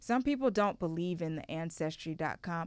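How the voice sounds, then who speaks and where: Speaking with an American accent, a woman uses an animated tone and lively intonation in a very clean recording with a silent background. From Ghana, later Houston, Texas. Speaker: podcast host. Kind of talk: casual chat.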